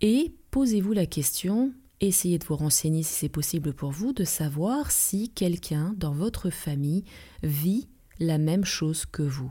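A woman, somewhat breathy, speaks at a very slow pace with lively intonation and a dark, mellow tone on a very clean recording with a silent background. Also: fairly low pitch for a woman. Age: 40s. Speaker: relaxation therapist and trainer. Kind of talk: advice podcast monologue.

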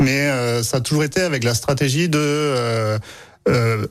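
The speaker has a southern French accent and ordinary pitch variation. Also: man. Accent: southern French (Aveyron). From Aveyron, France. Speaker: baker and bakery owner. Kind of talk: casual radio interview. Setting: radio studio.

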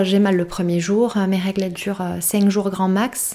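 A woman talks at a moderate pace in a dark, mellow tone. Her pitch sits in the medium range. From southern France, Perpignan. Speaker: content creator and podcaster. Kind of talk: casual interview chat.

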